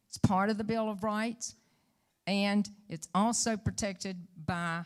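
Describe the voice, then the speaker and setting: A woman with fairly even intonation on a very clean recording against a silent background. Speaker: political candidate. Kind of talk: debate answer.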